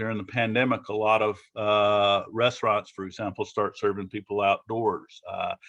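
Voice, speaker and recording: A man speaks with a Southern US accent. His pace is moderate. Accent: Southern US (Georgia). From Georgia, US South. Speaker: business preparedness presenter. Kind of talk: presentation to business owners. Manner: halting, many fillers and repeats.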